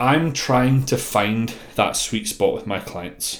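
This man speaks with a Scottish accent. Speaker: bodybuilding coach and podcast host. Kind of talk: solo podcast monologue. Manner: monotone.

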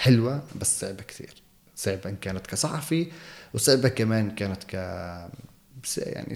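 At a moderate pace, a man with a fairly low pitch and vocal fry speaks with ordinary pitch variation. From Jerusalem, Palestine. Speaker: television field reporter. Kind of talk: interview. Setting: office of a TV channel in Jerusalem.

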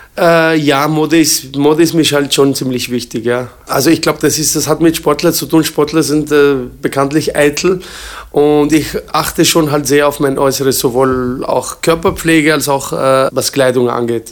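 A man's fairly high voice at a moderate pace, fairly even in intonation, with noticeable background noise. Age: 40s. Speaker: kickboxing champion and gym owner. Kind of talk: interview. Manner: hesitant, many fillers.

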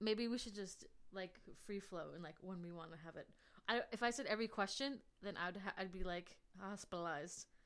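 A woman with an American accent and an ordinary speaking voice talks at a medium pitch and fairly quick pace, with ordinary pitch variation and big swings in loudness. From New Jersey. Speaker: podcast host. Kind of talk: casual interview.

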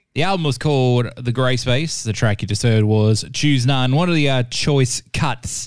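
A plain, everyday voice speaks at a moderate pace with ordinary pitch variation and very even loudness. The recording is very clean, with a silent background. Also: man, medium pitch for a man. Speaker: radio host. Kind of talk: radio DJ patter. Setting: radio studio. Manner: laid-back, upbeat.

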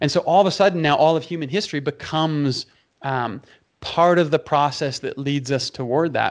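A man with an unremarkable speaking voice and a Canadian accent, ordinary pitch variation, a fairly quick pace, and a quiet background. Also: fairly high pitch for a man. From Canada, Toronto. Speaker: pastor. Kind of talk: interview conversation.

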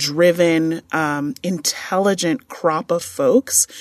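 A woman talks at a very slow pace in a fairly low voice, with ordinary pitch variation. The sound is dry and close, with no echo. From New York, Long Island. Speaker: university administrator. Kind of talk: interview.

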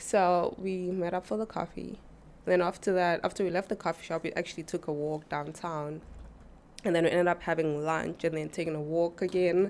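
This woman has a South African accent and a fairly low pitch. She speaks at a fairly quick pace with fairly even intonation. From South Africa (Mpumalanga, near Kruger Park). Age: 20s. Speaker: church member. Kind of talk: casual interview.

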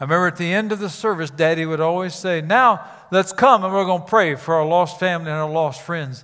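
Talking at a fairly quick pace, a man with an American accent has a high pitch and ordinary pitch variation. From Cape Girardeau, Missouri. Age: 70s. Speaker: retired pastor and missions ambassador. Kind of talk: sermon. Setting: church.

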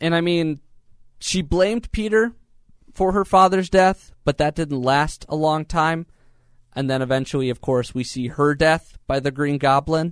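In a dry, close sound with no echo, a man with a fairly high pitch uses a normal speaking voice at a moderate pace and with ordinary pitch variation. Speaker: podcast host. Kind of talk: casual podcast chat.

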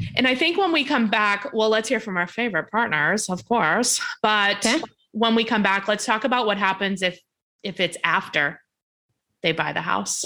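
At a moderate pace, a woman speaks with a bright, sharp tone, a fairly high pitch and lively intonation. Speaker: podcast co-host, real estate agent. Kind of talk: casual chat. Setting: video call. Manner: animated.

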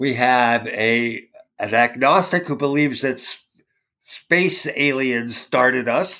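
A man talks with a fairly high pitch. His pace is very slow. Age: 60s. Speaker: church musician. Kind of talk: casual chat. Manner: halting.

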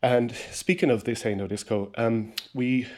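Someone speaks with a Kerry accent and fairly even intonation. The recording is very clean, with a silent background. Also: man. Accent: Kerry Irish. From Ireland, Rathmore, County Kerry. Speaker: radio presenter and music podcast host. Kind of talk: casual music chat.

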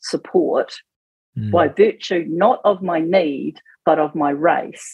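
This woman speaks with a New Zealand accent at a fairly low pitch. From New Zealand, Auckland. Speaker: political campaign spokesperson, former police detective. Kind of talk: radio interview. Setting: radio studio.

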